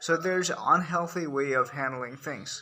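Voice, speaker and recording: A man speaks with a Nepali accent over noticeable background noise. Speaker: commentator on culture. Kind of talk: monologue to camera. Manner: hesitant, with fillers and restarts.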